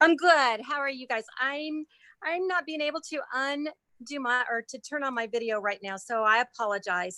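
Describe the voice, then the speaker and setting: Raised and projected, a woman's high-pitched voice carries a bright, sharp tone and lively intonation, recorded dry and close with no echo against a quiet background. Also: moderate pace. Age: 60s. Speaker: caller with low vision. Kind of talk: casual chat. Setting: video call.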